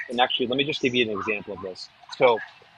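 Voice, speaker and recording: There is noticeable background noise as a man speaks very fast. His pitch sits in the medium range. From New Hampshire, US. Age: 40s. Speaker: real estate marketing expert and author. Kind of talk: webinar presentation.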